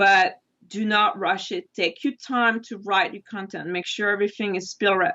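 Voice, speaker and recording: This is a woman's voice. Her pitch sits in the medium range. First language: not English. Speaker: wedding photographer. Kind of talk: interview.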